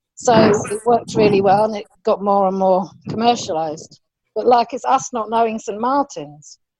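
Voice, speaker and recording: A woman with a London accent speaks at a moderate pace. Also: fairly high pitch for a woman, ordinary pitch variation. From England, London. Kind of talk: casual chat.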